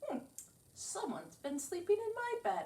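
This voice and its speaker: A woman performs a put-on character voice at a high pitch. She keeps a moderate pace. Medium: read story.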